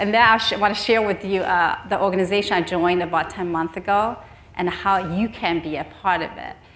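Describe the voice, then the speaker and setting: A fairly fast, medium-pitched woman's voice in a room with audible echo. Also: fairly even intonation. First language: Chinese. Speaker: nonprofit executive. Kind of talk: conference speech. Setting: stage with audience. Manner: halting.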